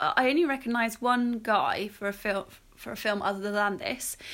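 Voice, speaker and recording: Her voice is raised and projected, high in pitch. This woman's tone is bright and sharp. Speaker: podcast host. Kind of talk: casual chat.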